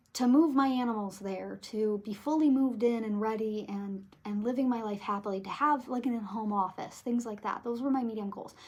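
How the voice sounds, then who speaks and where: At a moderate pace, a woman with an American accent speaks in a fairly high, somewhat breathy voice with ordinary pitch variation. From Michigan, USA. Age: 20s. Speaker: tarot reader. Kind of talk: casual talk to camera.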